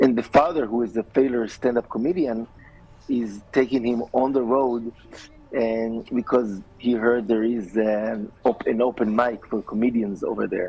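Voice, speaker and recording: A man with an Israeli accent, medium pitch, a moderate pace and fairly even intonation. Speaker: filmmaker. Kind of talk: TV interview. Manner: hesitant, many fillers.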